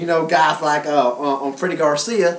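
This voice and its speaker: Over noticeable background noise, a man with a Southern US accent speaks at a moderate pace with a fairly high pitch. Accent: southern American. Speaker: sports reporter and host. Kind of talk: sports commentary talk show.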